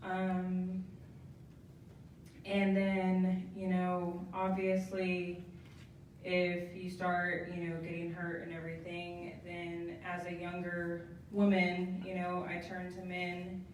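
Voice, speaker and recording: In an American accent, a soft-spoken woman talks very slowly with a fairly low pitch and a flat, monotone delivery, with audible room echo and noticeable background noise. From Southeast Kansas, military kid. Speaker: speaker sharing testimony. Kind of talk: testimony. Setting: live stream, podium with mic before audience. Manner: hesitant, many ums.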